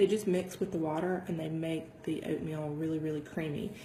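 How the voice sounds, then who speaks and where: A soft-spoken woman with a very deep, low pitch at a moderate pace, with audible room echo and noticeable background noise. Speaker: fitness vlogger. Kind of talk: casual vlog talk. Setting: home dining room. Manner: soft-spoken, keeping voice down.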